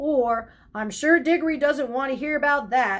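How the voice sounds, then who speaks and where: A woman's put-on character voice, high in pitch and at a moderate pace. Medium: read story. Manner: brisk, shushing.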